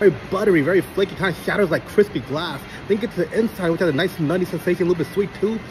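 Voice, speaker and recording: With lively intonation, a man talks very fast as music plays in the background. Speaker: food reviewer. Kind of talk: casual food review vlog. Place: cafe. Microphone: phone near.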